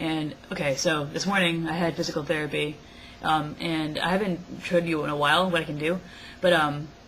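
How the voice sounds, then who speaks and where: A woman's very deep, low voice at a fairly quick pace, with monotone, flat intonation, noticeable background noise and audible room echo. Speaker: vlogger. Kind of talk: casual vlog. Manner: halting, many fillers.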